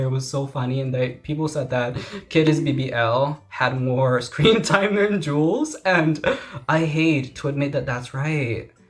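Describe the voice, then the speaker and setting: A man with a non-native accent speaks at a moderate pace, his pitch fairly high with ordinary variation. Noticeable background noise runs beneath him. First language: not English. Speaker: youtuber. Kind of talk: casual chat. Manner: animated.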